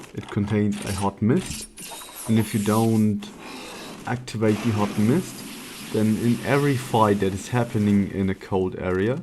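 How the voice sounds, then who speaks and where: A man talks at a fairly slow pace with a non-native accent. His intonation is fairly even, and noticeable background noise can be heard. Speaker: speedrunner. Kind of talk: gameplay commentary.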